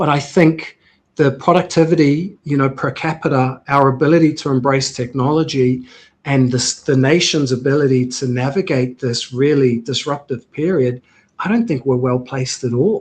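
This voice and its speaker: At a moderate pace, a man with a New Zealand accent speaks at a fairly high pitch. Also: ordinary pitch variation. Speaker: healthcare tech CEO, former military officer. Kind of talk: interview conversation.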